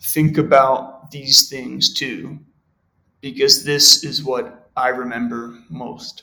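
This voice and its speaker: Delivered at a very slow pace in an American accent, the voice has a bright, sharp tone, ordinary pitch variation and big swings in loudness. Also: man, medium pitch for a man. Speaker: podcast guest, native English reader. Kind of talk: reading aloud.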